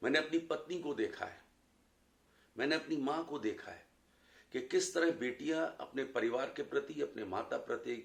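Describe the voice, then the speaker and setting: A man's speech with big swings in loudness and long, frequent pauses. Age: 60s. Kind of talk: personal reflection talk.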